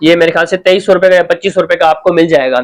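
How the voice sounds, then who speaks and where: A man with monotone, flat intonation. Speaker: tech tutorial youtuber. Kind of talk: tutorial. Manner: halting.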